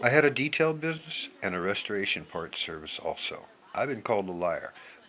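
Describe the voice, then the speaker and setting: A man with an American accent speaks at a medium pitch with very wide pitch swings over noticeable background noise. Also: fairly quick pace. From US Pacific Northwest, Yakima, Washington. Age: 60s. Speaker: vlogger. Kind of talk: impassioned monologue. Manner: emphatic.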